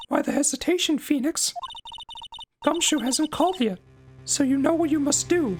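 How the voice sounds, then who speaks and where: A man speaks at a moderate pace in a put-on character voice pitched extremely high, with faint music in the background. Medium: game stream. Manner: urging, impatient.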